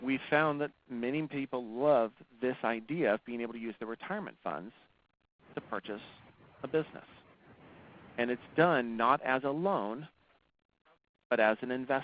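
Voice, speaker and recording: Long, frequent pauses break up this man's speech, which sits at a medium pitch with ordinary pitch variation. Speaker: financing specialist. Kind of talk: webinar presentation. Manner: fast.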